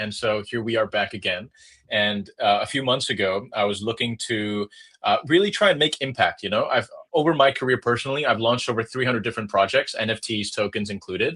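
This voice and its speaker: With an American accent and a bright, sharp tone, a man speaks at a fairly quick pace. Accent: sounds American. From Hong Kong. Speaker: crypto project growth lead. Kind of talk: podcast interview. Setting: remote call. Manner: animated.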